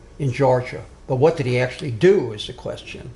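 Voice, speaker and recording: This man's voice has a dark, mellow tone and ordinary pitch variation at a moderate pace. Audible room echo surrounds it. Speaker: social justice activist giving a talk. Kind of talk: lecture. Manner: loud.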